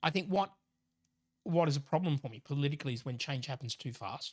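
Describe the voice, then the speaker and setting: Fairly high-pitched and somewhat breathy, a man with an Australian accent talks at a fairly quick pace with lively intonation in a dry, close sound without echo. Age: 60s. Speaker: professor. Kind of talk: casual chat. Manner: halting.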